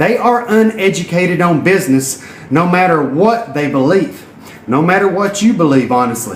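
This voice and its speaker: Speaking at a moderate pace with lively intonation, a man with a Southern US accent and a high pitch is heard over noticeable background noise and audible room echo. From Tennessee. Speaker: entrepreneur and network marketer. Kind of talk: motivational live stream talk. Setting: live video while exercising. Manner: animated.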